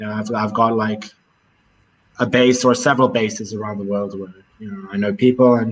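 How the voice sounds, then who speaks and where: The voice moves at a fairly quick pace in a monotone, flat intonation. It breaks into long, frequent pauses, with big swings in loudness. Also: man, fairly low pitch for a man. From Israel, with childhood years in Cape Town. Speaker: travel vlogger. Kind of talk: casual chat.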